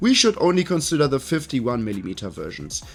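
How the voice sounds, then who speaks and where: Music plays in the background as someone talks with a German accent. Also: man. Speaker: tech reviewer. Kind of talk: product review to camera.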